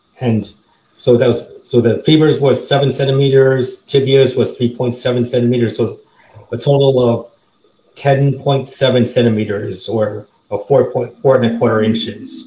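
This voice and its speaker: This man talks at a fairly slow pace with monotone, flat intonation and a medium pitch. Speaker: limb lengthening patient. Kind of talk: casual panel discussion. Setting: video call.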